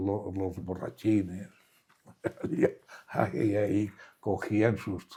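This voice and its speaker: A man's dark, mellow tone unfolds at a very slow pace. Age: 80s+. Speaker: war survivor. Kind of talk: interview answer.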